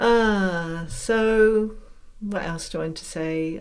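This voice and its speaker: A woman speaks with an English accent. Room echo is audible in the recording. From England. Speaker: podcast host and mentor. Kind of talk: casual monologue. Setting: home room.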